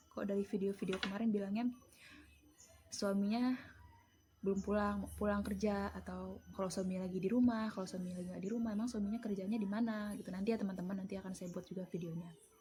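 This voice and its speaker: Talking very fast, a woman has a dark, mellow tone and fairly even intonation. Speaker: vlogger and home mushroom grower. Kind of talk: casual vlog explanation. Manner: casual, chatty.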